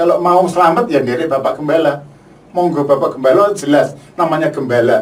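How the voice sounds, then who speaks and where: Fairly quick speech with noticeable background noise. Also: man. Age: 60s. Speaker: UN peacekeeping veteran. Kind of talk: testimony. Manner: halting, with repetitions.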